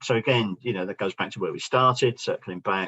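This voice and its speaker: A man with a London accent, medium pitch, lively intonation, and a fairly quick pace. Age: 60s. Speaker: business founder and speaker. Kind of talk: workshop presentation.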